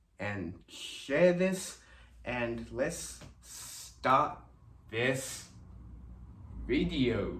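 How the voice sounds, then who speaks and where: Vocal fry runs through a man's speech, which has very wide pitch swings. Room echo is audible. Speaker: fitness instructor. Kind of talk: tutorial. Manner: slow.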